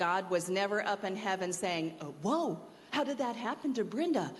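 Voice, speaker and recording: Audible room echo surrounds a woman speaking at a moderate pace, her medium pitch carrying lively intonation. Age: 60s. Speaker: university staff member speaking at chapel. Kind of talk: chapel talk, personal testimony.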